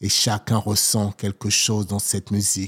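Somewhat breathy and at a very slow pace, a man speaks with a dry, close sound, no echo and a silent background on a very clean recording. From Togo, then Paris region from age 7. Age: 40s. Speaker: poet. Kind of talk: poetry performance. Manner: soft.

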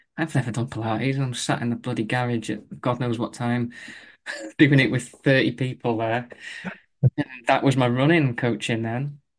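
A man with an ordinary speaking voice talks at a moderate pace and medium pitch, keeping a fairly even intonation. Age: 40s. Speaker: running coach. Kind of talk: casual interview.

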